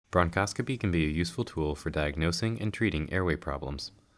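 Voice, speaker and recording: A man speaks at a very fast pace in a very deep, low pitch with ordinary pitch variation. The recording is very clean, with a silent background. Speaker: medical educator narrating a training module. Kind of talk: scripted narration. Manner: formal.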